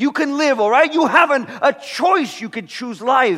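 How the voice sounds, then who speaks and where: A man with an extremely high-pitched voice, an American accent and an animated tone, over noticeable background noise. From California. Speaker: pastor. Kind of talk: sermon.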